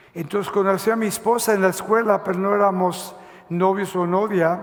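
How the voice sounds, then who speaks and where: There is noticeable background noise as a man with a high pitch talks at a moderate pace with fairly even intonation. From Mexico City, then Los Angeles from age 10. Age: 70s. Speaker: pastor. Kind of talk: testimony. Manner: halting, many fillers.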